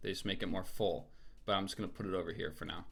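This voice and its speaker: A man's bright, sharp voice shows ordinary pitch variation. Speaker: music producer and rapper. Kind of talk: tutorial. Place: home room.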